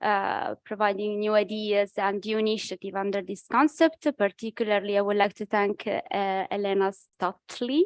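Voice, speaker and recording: A woman speaks with an Italian accent at a medium pitch and moderate pace. Her pitch varies in an ordinary way, and the sound is dry and close with no echo. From Italy. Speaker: think tank researcher. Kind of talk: conference presentation. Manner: halting, many fillers.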